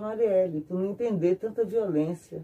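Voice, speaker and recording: At a moderate pace, a woman talks in a medium pitch with a dark, mellow tone and fairly even intonation. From Brasília, Brazil. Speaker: artisan artist (banner maker). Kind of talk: casual interview.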